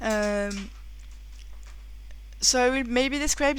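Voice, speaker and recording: In a French accent, a woman speaks at a fairly slow pace amid audible room echo. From France. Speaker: board game reviewer. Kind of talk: game review. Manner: halting.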